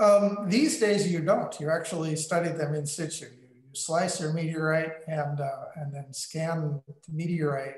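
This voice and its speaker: In an American accent, a man with an unremarkable speaking voice talks at a fairly slow pace, his fairly high pitch held to a fairly even intonation. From US Midwest and West, military family. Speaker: meteorite curator and Jesuit brother. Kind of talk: interview on a video call. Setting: video call.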